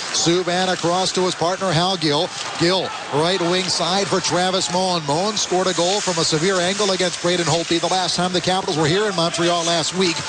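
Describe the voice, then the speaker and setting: Over noticeable background noise, a man speaks at a high pitch. His pace is fairly quick. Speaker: radio play-by-play hockey announcer. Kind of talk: live sports play-by-play call. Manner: fast, energetic, rising to a shout on goals.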